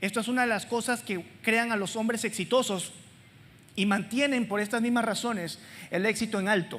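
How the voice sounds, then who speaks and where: At a moderate pace, a woman talks at a fairly high pitch with fairly even intonation. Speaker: preacher. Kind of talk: sermon. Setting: church with congregation.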